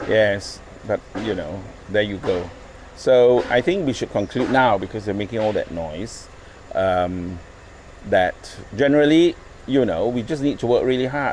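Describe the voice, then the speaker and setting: Amid noticeable background noise, a man of medium pitch talks at a moderate pace with lively intonation and long, frequent pauses. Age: 60s. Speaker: glass artist. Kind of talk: casual chat.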